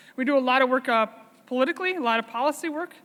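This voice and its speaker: Speaking at a very fast pace, a woman has a high pitch and a bright, sharp tone with an American accent. Her intonation is lively. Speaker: dairy farmer and farm organization leader. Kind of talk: conference talk.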